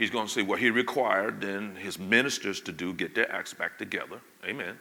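Talking at a fairly quick pace, a man uses a fairly low pitch with ordinary pitch variation. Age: 60s. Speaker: pastor. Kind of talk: sermon. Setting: church. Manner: animated.

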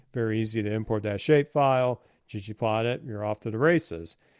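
Over a quiet background, a man talks in a normal speaking voice at medium pitch and a moderate pace, with ordinary pitch variation. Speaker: podcast host. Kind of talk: casual podcast discussion. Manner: friendly, conversational.

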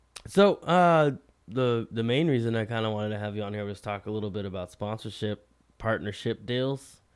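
In a plain, everyday voice, this man keeps a fairly quick pace. He uses a medium pitch that varies in an ordinary way. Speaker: podcast host. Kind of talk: casual interview chat.

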